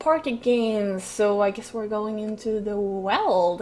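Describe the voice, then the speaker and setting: Speaking very slowly with a Swedish accent, a woman has a fairly high pitch. Noticeable background noise sits behind her. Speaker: gaming YouTuber. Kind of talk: let's play commentary. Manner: hesitant, many fillers.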